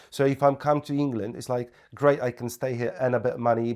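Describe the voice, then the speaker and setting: Speaking in a Polish accent, a man talks at a fairly quick pace and medium pitch in a flat monotone, on a very clean recording with a silent background. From Poland. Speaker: property investor. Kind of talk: podcast interview.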